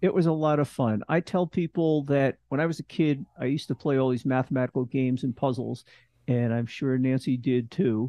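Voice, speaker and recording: This is a plain, everyday voice from a man, pitched at medium height. He talks at a fairly quick pace with very even loudness and ordinary pitch variation. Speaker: retired scientist and podcast co-host. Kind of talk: casual interview chat.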